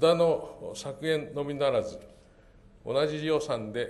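The man speaks at a very slow pace. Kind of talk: formal opening speech. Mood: formal, polite. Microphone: podium.

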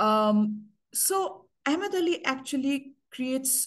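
Against a quiet background, a woman speaks at a moderate pace. Her somewhat breathy voice has lively intonation. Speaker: university English lecturer and poet. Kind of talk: workshop lecture with slides. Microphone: video call.

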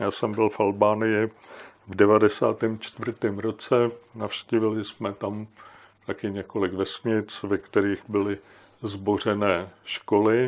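A man speaks very slowly in a fairly low pitch with monotone, flat intonation. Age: old. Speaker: historian and writer; guest. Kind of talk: discussion. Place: home room.

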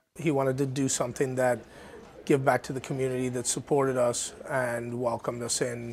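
A man speaks at a fairly quick pace in a flat, monotone delivery over light background noise. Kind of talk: interview answer. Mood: warm, grateful. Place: cafe. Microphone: lapel.

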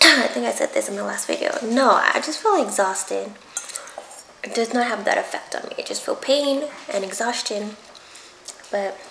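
A woman talks at a moderate pace with long, frequent pauses. Audible room echo and light background noise surround her voice. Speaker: food vlogger. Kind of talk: casual vlog chat while eating. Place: kitchen. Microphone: camera far.

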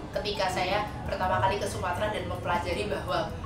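Clear music plays in the background as a woman talks at a very fast pace, with audible room echo. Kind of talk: interview answer. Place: workshop.

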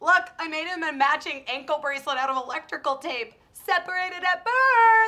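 A woman's put-on character voice, extremely high and bright with a sharp edge, lively intonation and a moderate pace

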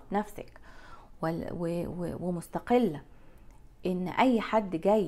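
The intonation here is lively. The speaker is a woman. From Egypt. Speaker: lifestyle vlogger. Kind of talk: casual monologue to camera. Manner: animated. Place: home room. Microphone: lapel.

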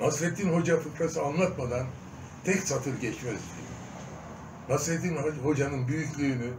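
The speech unfolds at a fairly slow pace with ordinary pitch variation. Noticeable background noise is present. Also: man. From Diyarbakır, Turkey. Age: 80s+. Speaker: stage and film actor. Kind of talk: interview answer. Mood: earnest, reflective. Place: home room. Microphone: phone near.

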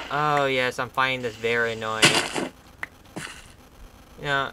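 Loud background noise runs through the clip. The voice itself sounds dry with no echo. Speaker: game player. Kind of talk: casual gameplay commentary. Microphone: camera far.

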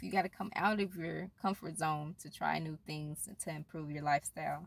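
A woman speaks at a moderate pace in a low pitch, with little pitch movement. Vocal fry runs through her voice.

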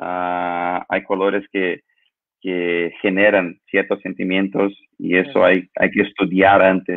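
A man talks at a very slow pace in a fairly low, monotone voice with flat intonation. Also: quiet background. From Brazil. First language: Portuguese (speaking Spanish). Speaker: lighting designer; guest. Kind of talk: interview. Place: home room. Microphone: video call.

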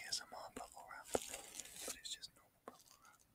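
A man whispers. His pace is moderate. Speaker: amateur ASMR creator. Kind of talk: ASMR video, casual talk to camera. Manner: soft-spoken, whispery. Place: home room. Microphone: webcam.

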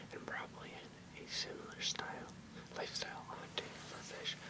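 Over loud background noise, a soft-spoken man whispers at a moderate pace. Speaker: reader. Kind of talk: reading an encyclopedic text aloud. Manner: soft close ASMR whisper. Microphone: webcam.

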